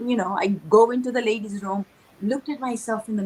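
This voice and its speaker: Noticeable background noise sits behind a woman talking at a very fast pace in a fairly high pitch. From Tanzania. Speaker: author and speaker. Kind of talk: interview. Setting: livestream.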